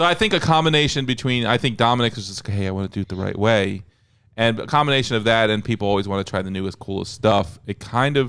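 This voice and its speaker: At a very fast pace, a man with a medium pitch and ordinary pitch variation is heard on a very clean recording with a silent background. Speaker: podcast co-host of a flight controller firmware team. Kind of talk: casual chat. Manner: loud.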